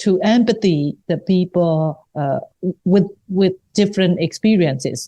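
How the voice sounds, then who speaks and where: A woman's medium-pitched voice, dark and mellow in tone, at a fairly slow pace with ordinary pitch variation, dry and close with no echo over a quiet background. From Myanmar, Rangoon. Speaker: writer and human rights activist. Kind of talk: interview. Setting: podcast interview. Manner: halting.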